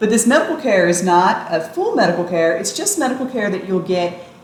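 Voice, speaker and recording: Over noticeable background noise and audible room echo, a woman with an American accent speaks at a medium pitch and a fairly quick pace. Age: 50s. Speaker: travel vlogger. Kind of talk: explainer tutorial.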